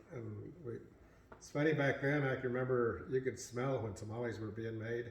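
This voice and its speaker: The speech moves at a fairly quick pace with fairly even intonation, big swings in loudness, and audible room echo. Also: man, medium pitch for a man. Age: 80s+. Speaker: family elder sharing memories. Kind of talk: family reminiscing interview.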